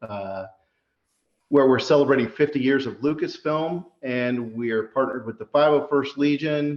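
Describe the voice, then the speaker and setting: A man with a plain, everyday voice speaks at a moderate pace with a fairly high pitch and ordinary pitch variation. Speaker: interviewer. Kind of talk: interview host introduction.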